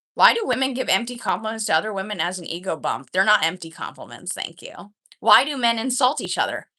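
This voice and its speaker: Speaking with an American accent, a woman sounds animated and bright with a sharp tone, moving at a fairly quick pace with ordinary pitch variation. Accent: sounds American, people say Midwest. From Canada. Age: 20s. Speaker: livestreamer. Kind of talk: casual chat. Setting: live stream.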